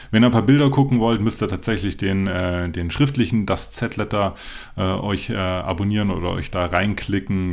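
The man talks with ordinary pitch variation. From Germany. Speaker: podcast host, running brand founder. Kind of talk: solo podcast monologue. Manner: frequent filler hesitations; unscripted, loose.

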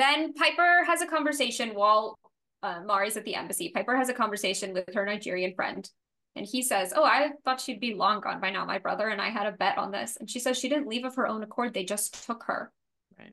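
Speaking at a fairly quick pace with an American accent, a woman has an unremarkable speaking voice, fairly high in pitch, with lively intonation and big swings in loudness. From US South, New Orleans. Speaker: podcast co-host. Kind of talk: casual chat.

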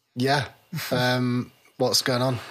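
Speaking slowly, a man keeps a medium pitch and a fairly bright tone with monotone, flat intonation.

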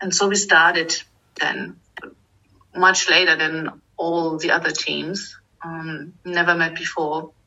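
The speech has monotone, flat intonation with a German accent. It moves at a very slow pace. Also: woman. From eastern Germany. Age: 40s. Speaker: finance manager. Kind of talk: interview. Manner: hesitant, many fillers.

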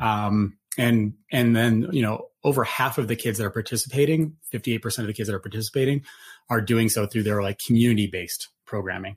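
Over a very clean recording with a silent background, a man talks at a fairly quick pace in a somewhat breathy, medium-pitched voice with ordinary pitch variation. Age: 40s. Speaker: Olympic gold medalist and nonprofit CEO. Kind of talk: panel discussion.

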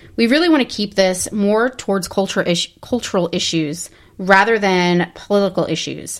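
In a very clean recording with a silent background, a woman speaks with an American accent. She has an unremarkable speaking voice, ordinary pitch variation and a moderate pace. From New Jersey. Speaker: podcast co-host. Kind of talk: casual chat.

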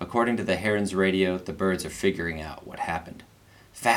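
Someone reads a text aloud in a natural voice.

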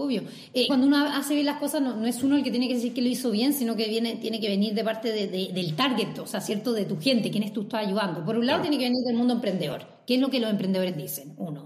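A woman speaks very fast in a fairly high pitch with lively intonation. Audible room echo and noticeable background noise fill the recording. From Brazil. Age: 30s. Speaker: startup consultant. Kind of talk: casual interview.

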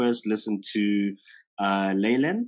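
A man speaks with a South African accent. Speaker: podcast host. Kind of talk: casual interview. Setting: video call.

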